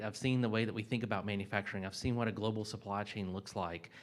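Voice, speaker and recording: Speaking very fast with a North Carolina accent, a man keeps a fairly low pitch and fairly even intonation. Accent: Southern US (North Carolina). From US South, mountains of North Carolina. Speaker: corporate sustainability executive. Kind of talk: panel discussion.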